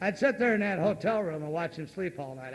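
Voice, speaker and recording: The speaker is a man with an American accent. He talks at a very fast pace. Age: 60s. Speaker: recovery meeting speaker. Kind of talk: recovery testimony.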